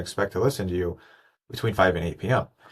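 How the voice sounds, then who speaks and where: Talking at a very fast pace with fairly even intonation, a man with a fairly low pitch comes through in a very clean recording with a silent background. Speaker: podcast producer. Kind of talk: casual interview chat. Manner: stutters or stammers often.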